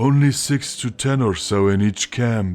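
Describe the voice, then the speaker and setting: Faint music plays in the background as a man puts on a character voice at a medium pitch and a moderate pace. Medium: read story. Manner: dry, guarded.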